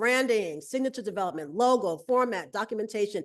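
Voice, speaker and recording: An animated woman with an American accent, very fast, fairly high-pitched, with very wide pitch swings against a quiet background. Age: 60s. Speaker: sculptor. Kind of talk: webinar presentation. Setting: video call.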